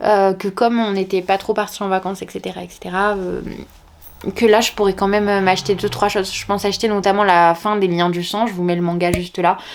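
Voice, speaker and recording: A woman's medium-pitched voice, flat and monotone in its intonation. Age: 30s. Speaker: teacher and book vlogger. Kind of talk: casual vlog chat. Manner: hesitant, many fillers.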